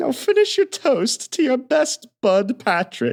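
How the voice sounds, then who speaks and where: A man performs a put-on character voice at an extremely high pitch. His pitch swings very widely as he talks at a fairly slow pace. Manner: falsely friendly, like a cat lying on its back.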